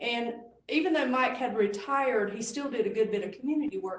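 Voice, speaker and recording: Amid noticeable background noise and audible room echo, a woman with a Southern US accent speaks at a fairly quick pace with ordinary pitch variation. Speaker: conference speaker. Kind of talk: presentation. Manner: drops the g in -ing.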